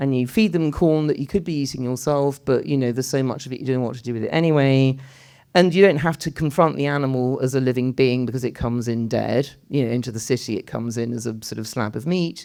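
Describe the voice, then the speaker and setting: A woman with a British accent talks very fast in a dark, mellow tone and a very deep, low pitch, with ordinary pitch variation. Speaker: writer and architect speaking at a public debate. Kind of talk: public talk in a panel debate.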